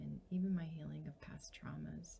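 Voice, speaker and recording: A woman is speaking. Her voice is soft-spoken. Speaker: licensed mental health counselor. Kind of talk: testimonial.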